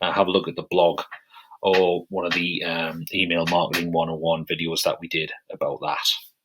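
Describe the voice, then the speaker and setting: Someone speaks at a moderate pace in a British accent. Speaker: software tutorial presenter. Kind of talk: tutorial. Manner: casual, with many fillers.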